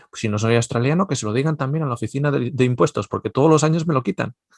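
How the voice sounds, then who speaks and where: Recorded with a dry, close sound and no echo, a man talks at a very fast pace with very wide pitch swings. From Basque Country, Spain. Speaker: Bible teacher. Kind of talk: lecture. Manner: conversational.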